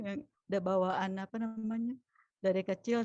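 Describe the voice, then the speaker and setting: A woman's medium-pitched, dark and mellow voice with fairly even intonation, recorded dry and close with no echo. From mixed Palembang, Javanese, Sundanese, Betawi background. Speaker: teacher, event emcee. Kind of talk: online community class hosting.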